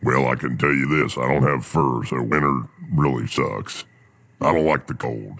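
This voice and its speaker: A man's put-on character voice, very deep and low, at a moderate pace. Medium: audio drama. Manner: easygoing, folksy.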